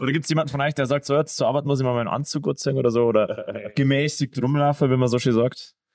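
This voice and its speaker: A man talks at a very fast pace with hardly any pauses, his pitch fairly high. His loudness stays very even and his intonation fairly even. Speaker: podcast co-host and metal bassist. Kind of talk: casual chat. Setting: band rehearsal room.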